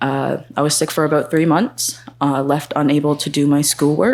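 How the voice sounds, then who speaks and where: This woman has a very deep, low pitch and fairly even intonation. Her pace is fairly slow. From Nunatsiavut, Labrador, northern Canada. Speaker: student panelist. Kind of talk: panel self-introduction. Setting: conference panel with live audience.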